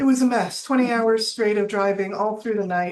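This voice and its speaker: Medium-pitched woman with fairly even intonation. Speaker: county HR director. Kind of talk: budget committee presentation. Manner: fast.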